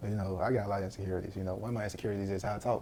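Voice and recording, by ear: Very fast and fairly low-pitched, a man talks in a dark, mellow tone.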